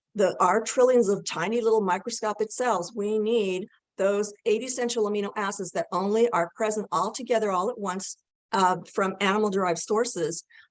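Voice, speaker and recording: A woman speaks at a moderate pace in a medium pitch, with a plain, everyday voice. Her intonation stays fairly even. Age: 60s. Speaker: nutrition expert. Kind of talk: interview.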